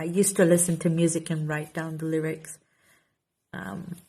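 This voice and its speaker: Fairly slow and somewhat breathy, a woman with a Portuguese accent speaks in a dark, mellow tone at a fairly low pitch. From Portugal. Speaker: author and content creator. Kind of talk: casual Q&A vlog. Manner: halting, repeats words.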